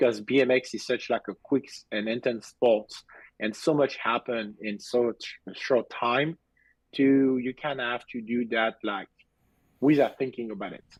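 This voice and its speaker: Dry and close with no echo, a man's voice carries a strong French accent, medium pitch, fairly even intonation and a fairly slow pace. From southern France. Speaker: BMX racing coach. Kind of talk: casual interview. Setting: video call. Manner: halting.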